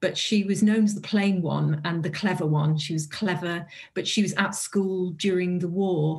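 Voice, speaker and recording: A woman's fairly low voice with a North Welsh accent, at a moderate pace and with fairly even intonation. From North Wales. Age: 50s. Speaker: author and publisher. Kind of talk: interview.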